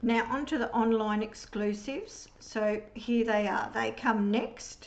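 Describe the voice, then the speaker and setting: This speaker has an Australian accent and talks at a fairly slow pace. The intonation is monotone and flat, and the loudness stays very even. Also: woman, fairly high pitch for a woman. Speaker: papercraft demonstrator. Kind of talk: product demonstration tutorial.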